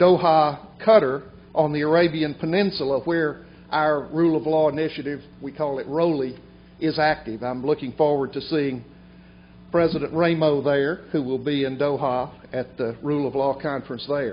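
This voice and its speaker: A man with an Alabama accent, fairly high pitch, ordinary pitch variation and a moderate pace. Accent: Southern US (Alabama). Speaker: bar association president. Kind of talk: formal speech.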